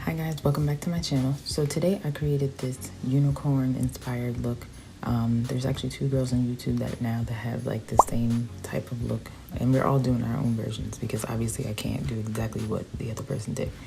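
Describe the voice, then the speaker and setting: Quiet and at a fairly quick pace, a woman with a very deep, low pitch speaks over music in the background. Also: ordinary pitch variation. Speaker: beauty vlogger. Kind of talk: casual chat to viewers; makeup tutorial. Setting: at home at night.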